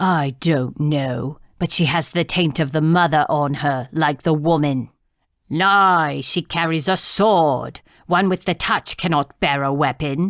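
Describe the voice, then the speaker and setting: A female-sounding voice puts on a growling character voice at a middle pitch and a fairly slow pace. The recording is very clean, with a silent background. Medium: read story. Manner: terse, hostile.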